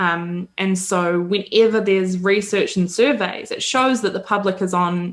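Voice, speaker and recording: A woman speaks with a New Zealand accent. Her medium-pitched voice keeps a fairly even intonation. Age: 30s. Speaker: women's advocacy spokesperson. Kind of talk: interview conversation. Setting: podcast interview. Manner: hesitant, many fillers.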